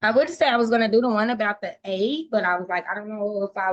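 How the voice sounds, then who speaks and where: At a fairly quick pace, a woman speaks in a normal speaking voice with a fairly high pitch. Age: 30s. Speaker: college student. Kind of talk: class discussion.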